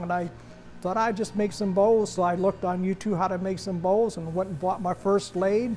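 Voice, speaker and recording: With music in the background, a man talks at a moderate pace in a high, flat, monotone voice. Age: 70s. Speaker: woodturner. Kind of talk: interview monologue. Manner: hesitant, with fillers.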